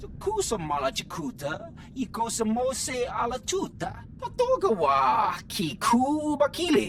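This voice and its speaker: A put-on character voice with a fairly high pitch moves at a fairly slow pace over clear background noise. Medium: video game.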